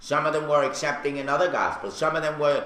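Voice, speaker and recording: A man with a Brooklyn accent speaks at a fairly high pitch. Audible room echo and noticeable background noise are present. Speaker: radio host. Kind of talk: casual chat.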